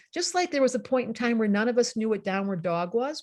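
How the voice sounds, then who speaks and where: This woman's high voice swings very widely in pitch. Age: 60s. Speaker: astrologer and psychotherapist. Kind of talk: talk to an online group. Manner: animated.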